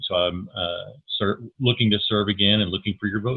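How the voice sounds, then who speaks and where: A man with an American accent has an unremarkable speaking voice, fairly low in pitch, with ordinary pitch variation and a fairly quick pace. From Texas Panhandle. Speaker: school board candidate, minister. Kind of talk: candidate forum introduction.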